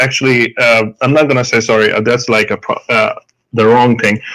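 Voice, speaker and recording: Speaking at a moderate pace in an Indian accent, a man uses a medium pitch and a bright, sharp tone. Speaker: doctor, debate guest. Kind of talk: heated debate. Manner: halting, many fillers.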